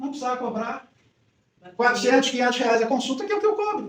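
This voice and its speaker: Audible room echo surrounds the voice. A man speaks with very wide pitch swings. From Brazil, Rio de Janeiro. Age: 60s. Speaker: psychologist. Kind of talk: talk to a women's group.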